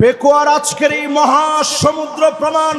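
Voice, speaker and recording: A man's raised, projected voice over crowd noise in the background. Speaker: Islamic preacher. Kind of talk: religious sermon to a large outdoor crowd. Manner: fiery, rousing.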